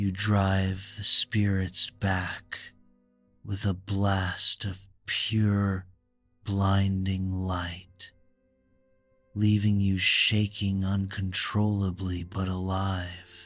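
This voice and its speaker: With faint music in the background, a man talks at a very slow pace in a monotone, flat delivery, his pitch fairly low and his pauses long and frequent. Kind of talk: bedtime story. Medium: read story. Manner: slow, measured, soothing.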